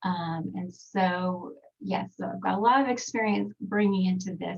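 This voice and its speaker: A woman speaks with an American accent. Her medium-pitched voice is somewhat breathy. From Texas. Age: 40s. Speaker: skincare trainer. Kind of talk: webinar presentation. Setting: video call from home recording studio.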